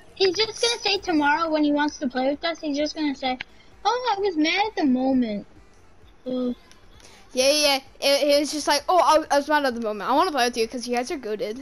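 A woman speaks in a high voice at a very fast pace. Faint music plays in the background. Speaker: gamer in party chat. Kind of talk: casual gaming chat with friends. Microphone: headset.

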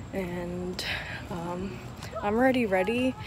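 The speech comes at a very slow pace with ordinary pitch variation, a dry sound with no echo, and noticeable background noise. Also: woman. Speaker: vlogger. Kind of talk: casual vlog chat. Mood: excited, upbeat. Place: street. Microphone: phone near.

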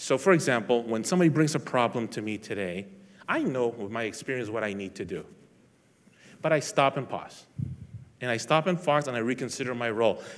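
A man at a fairly quick pace, lively intonation broken by long, frequent pauses. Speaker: police lieutenant; speaker. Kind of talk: inspirational talk. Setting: stage with audience. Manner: halting. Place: hall.

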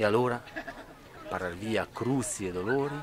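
A man speaks with a Trentino accent. The sound is dry with no echo, though noticeable background noise is present. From Trentino, Italy. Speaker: poet. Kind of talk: poetry reading. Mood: warm, lively. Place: open country. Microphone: phone near.

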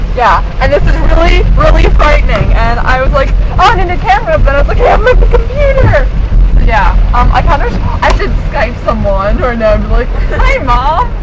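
The speaker talks at a moderate pace over crowd noise in the background. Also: woman. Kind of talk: casual vlog chat. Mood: excited, amused, a bit scared. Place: car. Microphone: webcam.

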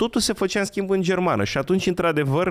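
A man races through his words at a very fast pace over a quiet background. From Romania, Călărași county; Romania. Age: 30s. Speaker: history enthusiast; podcast guest. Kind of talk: casual chat. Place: studio. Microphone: studio mic.

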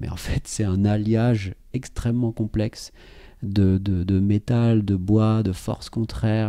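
Against a quiet background, a man speaks fairly slowly in a dark, mellow tone, his pitch fairly low and his intonation fairly even. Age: 30s. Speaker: pianist and composer. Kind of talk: casual chat. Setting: at his home next to his piano.

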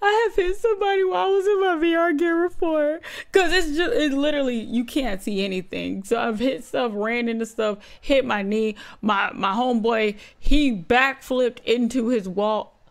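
A high-pitched woman at a moderate pace, very wide pitch swings, quiet background. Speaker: reaction video host. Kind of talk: casual reaction commentary. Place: home room. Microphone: studio mic.

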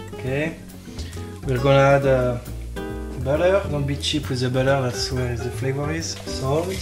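Over clear background music, a man with a French accent speaks at a moderate pace. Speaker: chef. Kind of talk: cooking demonstration. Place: kitchen. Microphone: camera far.

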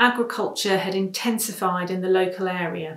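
Against a quiet background with audible room echo, a woman speaks at a moderate pace with ordinary pitch variation. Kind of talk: prepared talk. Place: home room. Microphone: webcam.

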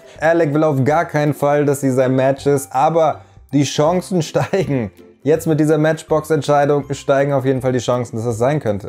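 With faint music in the background, a man talks at a moderate pace and ordinary pitch variation. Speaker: reality TV commentator. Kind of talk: commentary. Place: studio. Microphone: lapel.

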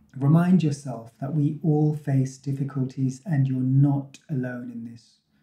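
A man speaks fairly slowly in a soothing, gentle tone. Audible room echo is present over a quiet background. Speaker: meditation guide. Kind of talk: guided meditation. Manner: soothing, gentle, calm; slow, unhurried, with pauses. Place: empty room.

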